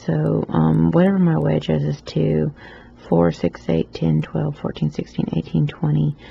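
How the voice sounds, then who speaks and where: Noticeable background noise accompanies a woman with a Southern US accent speaking at a fairly slow pace. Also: very even loudness. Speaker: loom knitting tutor. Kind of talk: tutorial. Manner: casual, with many fillers.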